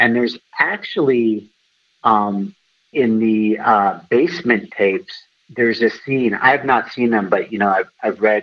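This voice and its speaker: A man with an unremarkable speaking voice and an American accent talks at a fairly slow pace and a medium pitch, with ordinary pitch variation and very even loudness. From US West Coast, Los Angeles. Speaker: private investigator, former reporter. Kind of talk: interview. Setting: phone call.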